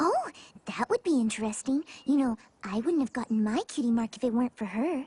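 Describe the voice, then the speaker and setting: A cartoonish character voice, female-sounding and high-pitched, at a fairly quick pace. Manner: soft-spoken, gentle.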